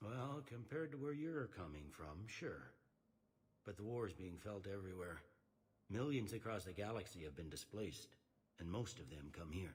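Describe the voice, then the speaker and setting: Putting on a gruff character voice, a man talks at a moderate pace with a fairly low pitch that swings very widely. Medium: video game. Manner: blunt, gruff.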